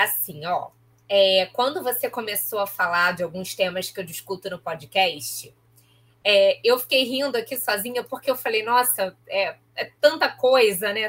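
At a moderate pace and a fairly high pitch, a woman with a plain, everyday voice speaks with ordinary pitch variation. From Baixada Fluminense, Rio de Janeiro state (Nova Iguaçu). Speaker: professor and podcaster. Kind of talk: interview conversation.

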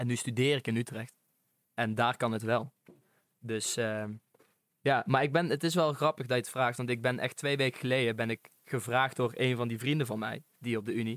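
A man speaks at a moderate pace and medium pitch in a plain, everyday voice. The recording is very clean and silent behind him, with a dry, close sound and no echo. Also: fairly even intonation. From North Brabant, Netherlands (Venhorst). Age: young. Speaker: podcast guest, student. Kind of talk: casual chat.

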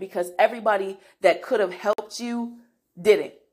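A woman talks at a fairly quick pace in an animated tone. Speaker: podcast host. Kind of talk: casual monologue; guided mindfulness.

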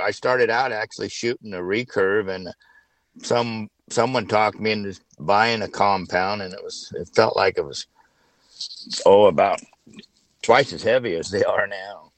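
A man speaks at a medium pitch and a moderate pace, with ordinary pitch variation. His speech has long, frequent pauses and big swings in loudness. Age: 60s. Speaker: hunter and father. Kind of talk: casual chat.

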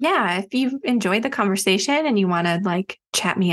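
A woman with an American accent talks at a moderate pace and medium pitch. The sound is dry and close, with no echo. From US Midwest, Chicago suburbs. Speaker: author and crystal healing educator. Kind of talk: casual interview chat.

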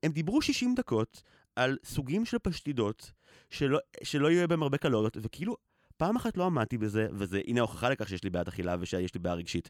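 A man at medium pitch speaks at a fairly quick pace with very wide pitch swings, in a dry, close sound with no echo. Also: very clean recording, silent background. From Israel, grew up on a kibbutz. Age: 30s. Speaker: podcaster. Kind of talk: personal conversational podcast.

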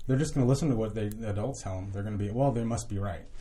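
A man's somewhat breathy, dark, mellow voice in an American accent. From Southern California. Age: 30s. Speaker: addiction recovery worker, former prisoner. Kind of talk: casual interview chat. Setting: studio. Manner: halting, many repeated words.

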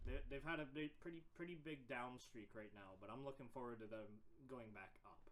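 Here is a man with an ordinary speaking voice. He talks fairly quickly with ordinary pitch variation. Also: medium pitch for a man. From Canada. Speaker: podcast co-host. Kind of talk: casual chat.

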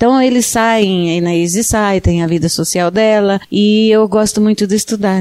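A woman's dark, mellow tone at medium pitch, fairly even in intonation and moderate in pace, with a dry, close sound and no echo. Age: 60s. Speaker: entrepreneur, photo studio co-owner. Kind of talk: radio interview.

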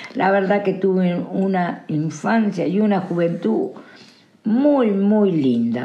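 A woman speaks at a medium pitch and a very slow pace, with lively intonation and very even loudness, over noticeable background noise and audible room echo. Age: 70s. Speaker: interviewee. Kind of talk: interview.

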